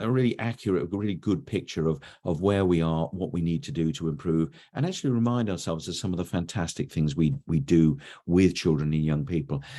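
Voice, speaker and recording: With an English accent, a man speaks at a fairly quick pace and a very deep, low pitch. His tone is dark and mellow, and his intonation is lively. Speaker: education consultant, webinar presenter. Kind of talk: webinar presentation. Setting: online webinar. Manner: conversational, with frequent hesitations.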